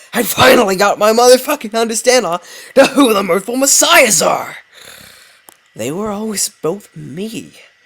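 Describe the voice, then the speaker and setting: A put-on character voice at a fairly high pitch and moderate pace. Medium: read story. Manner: menacing.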